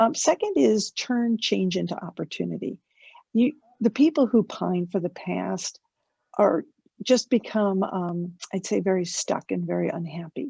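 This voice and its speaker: A woman talks at a fairly slow pace in a dark, mellow, somewhat breathy voice of medium pitch with lively intonation, the sound dry and close with no echo. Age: 60s. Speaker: asset management executive. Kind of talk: fireside chat interview.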